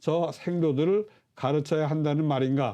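Against a quiet background, a man talks at a fairly slow pace in a fairly high pitch, with a dark, mellow tone. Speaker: Confucian clan scholar explaining history. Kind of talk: educational lecture-style explanation. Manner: formal, explanatory.

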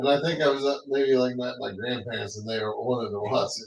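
Speaking fairly quickly with fairly even intonation, a man uses a normal speaking voice at medium pitch. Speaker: podcast co-host. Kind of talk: casual chat. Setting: live stream. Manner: joking.

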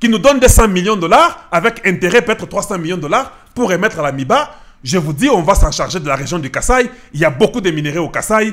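Against a quiet background, a man speaks at a fairly quick pace in a high pitch. His pitch swings very widely. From DR Congo, Kasai; DR Congo. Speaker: political commentator, online channel host; political commentator. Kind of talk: political commentary monologue. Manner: emphatic, repetitive. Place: office. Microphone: studio mic.

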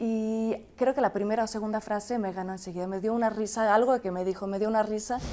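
This is a plain, everyday voice. It moves at a moderate pace with ordinary pitch variation. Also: woman. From France. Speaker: commentator's wife. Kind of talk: interview.

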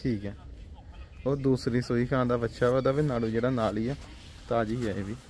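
A man with a medium-pitched, slightly mellow voice talks at a fairly quick pace with fairly even intonation.

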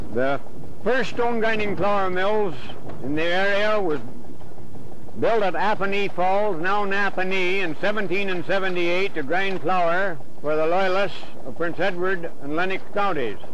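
Over light background noise, a man with a high pitch speaks at a fairly slow pace with ordinary pitch variation, the sound dry with no echo. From Ontario, Canada. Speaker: hobbyist model builder giving a demonstration. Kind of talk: vintage documentary-style narration, an explanatory walkthrough of a working model mill. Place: open country. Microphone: old recording.

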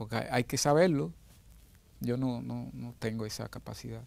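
A man talks at a moderate pace in a plain, everyday voice, with medium pitch and ordinary pitch variation. The sound is dry with no echo. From Dominican Republic, San Juan de la Maguana; Dominican Republic. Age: 60s. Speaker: pianist and music arranger. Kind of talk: interview. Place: studio. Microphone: lapel.

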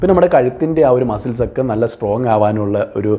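The man's dark, mellow tone sits at a medium pitch and carries lively intonation. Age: 40s. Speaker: beauty and wellness video creator. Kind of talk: tutorial.

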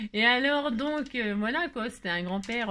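A woman's raised, projected voice, animated and bright, sharp, with lively intonation at a fairly slow pace. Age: 50s. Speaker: crafting youtuber. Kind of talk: craft tutorial with casual chat. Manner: chatty, animated. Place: home room. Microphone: phone near.

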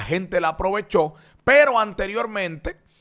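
The pace of this man's speech is fairly slow. He uses lively intonation. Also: quiet background. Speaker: entertainment show host. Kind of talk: entertainment news commentary. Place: studio. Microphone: studio mic.

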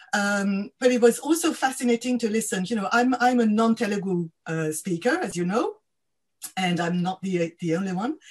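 Lively, somewhat breathy speech from a woman at a medium pitch and moderate pace. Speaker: academic co-convener; event host or moderator. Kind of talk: webinar discussion. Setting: video call. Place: home room. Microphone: video call.

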